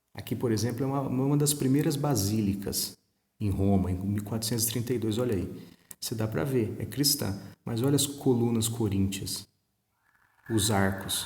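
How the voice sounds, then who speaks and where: Soft-spoken and somewhat breathy, a man with a medium pitch and a dark, mellow tone talks at a moderate pace with ordinary pitch variation and long, frequent pauses, in audible room echo. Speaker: history teacher. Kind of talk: recorded online lesson. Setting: recording at home. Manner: conversational.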